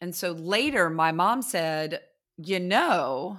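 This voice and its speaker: A woman with an American accent and an unremarkable speaking voice, lively in intonation, on a very clean recording with a silent background. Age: 40s. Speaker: podcast co-host. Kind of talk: casual chat.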